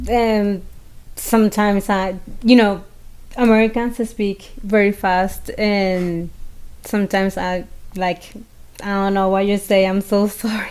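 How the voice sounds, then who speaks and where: A woman in a Venezuelan accent, fairly slow, with long, frequent pauses and monotone, flat intonation. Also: medium pitch for a woman. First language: Spanish. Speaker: podcast co-host. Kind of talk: casual chat.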